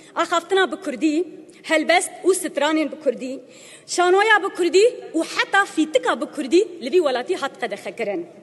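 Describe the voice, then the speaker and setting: Against noticeable background noise, a woman with an extremely high voice speaks at a moderate pace with lively intonation. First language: Kurdish (speaking Turkish). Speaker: member of parliament. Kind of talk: parliamentary speech. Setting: parliament chamber. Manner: emphatic.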